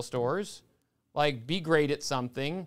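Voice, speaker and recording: At a moderate pace, a man with a plain, everyday voice speaks in a fairly high pitch on a very clean recording with a silent background. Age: 40s. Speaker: business owner. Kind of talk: casual chat.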